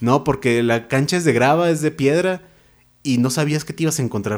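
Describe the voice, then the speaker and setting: In a very clean recording with a silent background, a man talks at a fairly quick pace. He has a normal speaking voice, a fairly high pitch, and lively intonation. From Mexico, Naucalpan (State of Mexico). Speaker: writer. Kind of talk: interview. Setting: studio.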